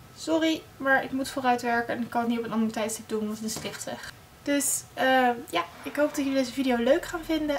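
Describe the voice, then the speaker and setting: A woman speaks at a high pitch and a fairly quick pace. Her pitch varies in an ordinary way over light background noise. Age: young. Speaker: beauty blogger. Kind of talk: casual talk to camera. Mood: friendly, slightly apologetic. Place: home room. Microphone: phone near.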